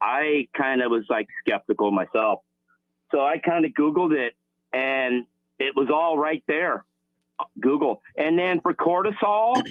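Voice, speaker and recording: At a fairly slow pace, a man with a fairly high voice makes very wide pitch swings at very even loudness, pausing long and often. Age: 60s. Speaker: caller. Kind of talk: call-in question. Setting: phone call. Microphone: poor phone line.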